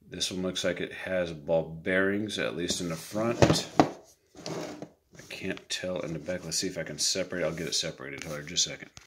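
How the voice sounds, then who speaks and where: A man at a moderate pace, hardly any pauses, under loud background noise. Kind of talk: tutorial. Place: workshop. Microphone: phone near.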